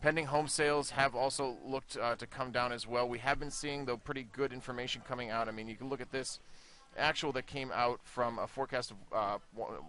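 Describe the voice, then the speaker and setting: A man with an American accent talks at a fairly quick pace in a bright, sharp tone, with medium pitch and fairly even intonation. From United States. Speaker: market analyst. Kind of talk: market briefing. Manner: casual, many fillers.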